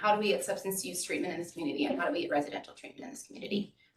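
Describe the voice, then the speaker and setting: A woman speaks at medium pitch. Audible room echo surrounds her voice. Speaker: public commenter, private mental health provider. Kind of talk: public comment at city council meeting. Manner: loud.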